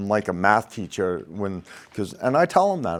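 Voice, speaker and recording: At a moderate pace, a man with a Maine accent speaks in a fairly low pitch. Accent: Maine, New England accent; others tease it. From Maine, US. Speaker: crane and rigging instructor, former ironworker. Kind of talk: podcast interview. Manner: animated.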